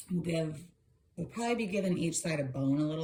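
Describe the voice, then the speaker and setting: A woman's somewhat breathy voice carries audible room echo. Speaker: tarot reader. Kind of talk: tarot reading video, casual commentary. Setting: home video recording, on camera. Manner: fast; animated.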